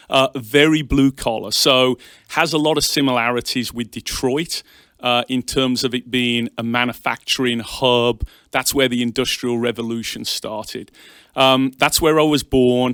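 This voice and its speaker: A man speaks at a moderate pace in a medium pitch, his intonation flat and monotone. The recording is very clean with a silent background. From England, Birmingham. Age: 40s. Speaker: bank executive. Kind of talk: interview.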